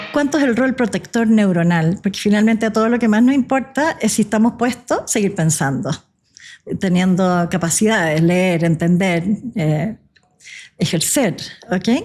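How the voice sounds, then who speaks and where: The voice is somewhat breathy, with lively intonation and very even loudness. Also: woman, medium pitch for a woman, moderate pace. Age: 60s. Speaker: physician. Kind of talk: podcast interview. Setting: coffee shop.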